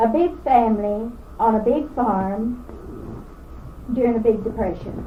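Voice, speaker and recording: A woman speaks with a Kentucky accent in a high voice. There is audible room echo and noticeable background noise. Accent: Kentucky Southern US. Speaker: oral history interviewee. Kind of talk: oral history reminiscence. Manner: halting, with frequent fillers.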